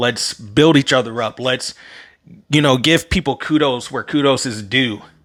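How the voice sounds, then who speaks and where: A man's bright, sharp voice with an American accent at a moderate pace. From US, Maryland. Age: 30s. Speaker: podcast host. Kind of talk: solo podcast monologue. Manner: casual, conversational.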